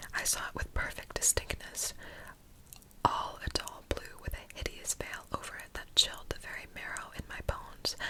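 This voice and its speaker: Noticeable noise sits in the background. Over it, a woman whispers at a moderate pace. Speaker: ASMR creator. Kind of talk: ASMR story reading. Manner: whispered.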